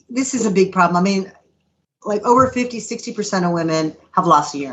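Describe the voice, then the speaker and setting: A woman speaks in a normal speaking voice at medium pitch and a fairly quick pace. Her intonation is lively. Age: 60s. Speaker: gynecologist. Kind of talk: casual chat.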